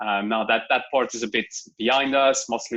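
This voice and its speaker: Against a quiet background, a man with a French accent talks at a fairly quick pace in a bright, sharp tone, with a medium pitch and fairly even intonation. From France. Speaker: tech company engineering lead. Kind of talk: interview.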